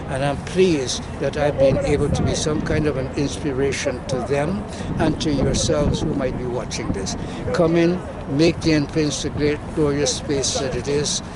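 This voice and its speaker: A man with a fairly high pitch speaks at a moderate pace and with fairly even intonation, with noticeable background noise and audible room echo. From Guyana. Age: 80s+. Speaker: community activist. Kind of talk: speech at birthday celebration. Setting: outdoors at track and field centre. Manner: formal.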